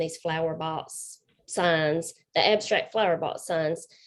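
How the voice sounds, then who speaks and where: A woman's voice with a Southern accent. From South Carolina. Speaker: paint party instructor. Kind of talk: group video chat.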